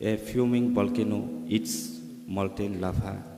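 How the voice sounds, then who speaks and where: A man speaks with a dark, mellow tone. Audible room echo surrounds his voice. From Tripura, northeast India. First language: Tripura (Kokborok). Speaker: poet. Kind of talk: poetry reading. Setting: literary festival stage with audience.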